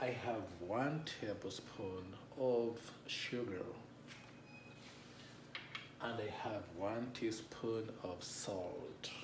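A man at a very slow pace with long, frequent pauses and ordinary pitch variation, over noticeable background noise. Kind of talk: cooking tutorial. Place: kitchen. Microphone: camera far.

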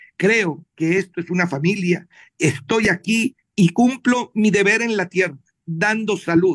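A man talks very slowly, his pitch varying in an ordinary way, with a quiet background behind him. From Colombia. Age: 60s. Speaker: doctor; guest. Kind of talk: panel interview. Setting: video call. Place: home room. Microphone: video call.

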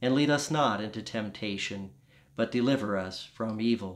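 A man's medium-pitched voice with a warm tone and an American accent, against a quiet background. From US South. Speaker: Episcopal priest. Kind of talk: fervent intercessory prayer, led in a steady liturgical cadence. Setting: home, pre-recorded. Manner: earnest, warm, gently pleading; slow, measured, reverent. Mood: calm, solemn. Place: home room. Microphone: phone near.

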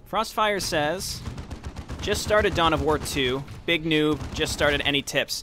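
A man's fairly high voice at a fairly slow pace, with ordinary pitch variation and very even loudness, dry sound with no echo, and noticeable background noise. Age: 20s. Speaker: gaming streamer. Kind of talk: casual chat. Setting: live stream with chat. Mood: friendly, joking.

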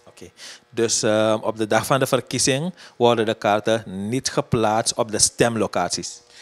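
Music plays in the background as a man speaks with big swings in loudness. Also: fairly even intonation, moderate pace. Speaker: interviewer. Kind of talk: interview.

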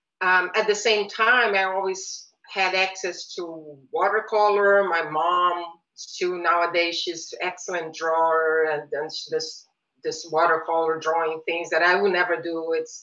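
Over a quiet background, a woman speaks at a fairly slow pace. Her fairly low voice has a bright, sharp tone and fairly even intonation. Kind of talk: interview answer. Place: home room. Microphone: webcam.

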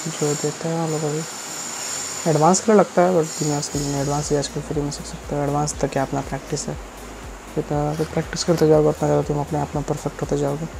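Over music in the background, a man talks at a fairly quick pace with monotone, flat intonation. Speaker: vlogger. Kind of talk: casual vlog chat. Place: home room. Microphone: earbuds.

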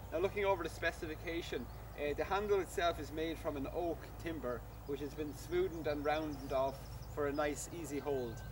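Fairly quick male speech with noticeable noise in the background. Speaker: shop staff demonstrating a product. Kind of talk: product demonstration. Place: garden. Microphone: camera far.

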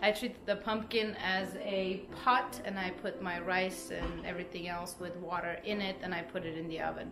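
A woman at a moderate pace, with ordinary pitch variation and clear music in the background. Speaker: vlogger. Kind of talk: casual vlog chat. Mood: cheerful, laughing. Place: kitchen. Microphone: phone near.

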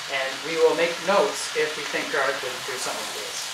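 A man's very fast speech over loud background noise. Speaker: cooking show host. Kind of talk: cooking show talk. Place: kitchen. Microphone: camera far.

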